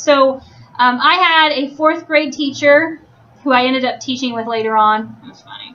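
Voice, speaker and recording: A woman's high-pitched voice with ordinary pitch variation at a moderate pace. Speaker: teacher. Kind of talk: classroom instruction. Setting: classroom. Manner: loud.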